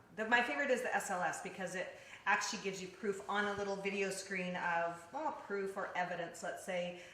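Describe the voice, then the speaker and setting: Over noticeable background noise and audible room echo, a woman at a medium pitch speaks at a fairly quick pace in an animated tone, with big swings in loudness. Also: ordinary pitch variation. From British Columbia. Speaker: paranormal investigator. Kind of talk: interview.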